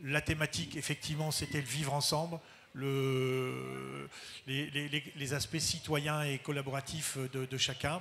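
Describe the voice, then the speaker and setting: A man speaks at a fairly slow pace in a fairly high pitch. His intonation is monotone and flat. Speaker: school head. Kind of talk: panel talk. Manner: halting.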